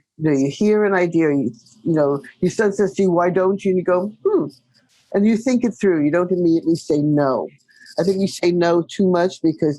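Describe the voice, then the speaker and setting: A woman speaks at a moderate pace in a fairly low, dark, mellow voice, with ordinary pitch variation and very even loudness. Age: 70s. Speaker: real estate broker. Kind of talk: interview.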